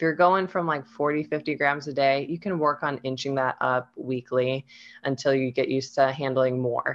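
A woman with a Midwestern US accent speaks at a moderate pace in a very deep, low pitch. Her intonation stays fairly even. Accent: General American, Midwestern. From US Midwest, Ohio. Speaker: nutrition and fitness coach. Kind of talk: casual interview chat. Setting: video call.

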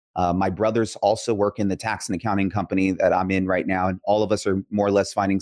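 A man with a Californian accent talks at a very fast pace in monotone, flat intonation. The sound is dry and close, with no echo. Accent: Californian American English. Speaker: tax strategist. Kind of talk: interview conversation.

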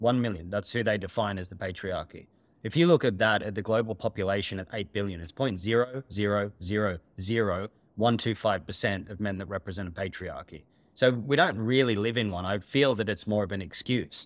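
Over a silent background in a very clean recording, a man speaks at a fairly quick pace. His fairly low pitch shows ordinary variation. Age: 40s. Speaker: holistic therapist and coach. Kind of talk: podcast interview. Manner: direct.

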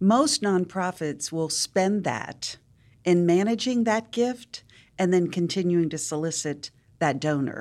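A woman with a plain, everyday voice speaks at a fairly slow pace and fairly low pitch with lively intonation, on a very clean recording with a silent background. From West Virginia, US. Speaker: nonprofit leader and entrepreneur. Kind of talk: interview.

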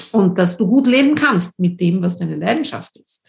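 Somewhat breathy, a woman talks at a fairly slow pace with lively intonation. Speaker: podcast host and coach. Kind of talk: personal storytelling monologue.

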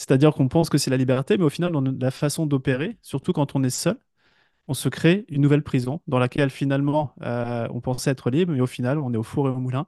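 A man's fairly high-pitched voice with a dark, mellow tone, very fast pace and ordinary pitch variation, dry and close with no echo, over a quiet background. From western France, village between Brittany and Paris. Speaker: entrepreneur and business coach. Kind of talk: interview. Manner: halting, many hesitations and repetitions.

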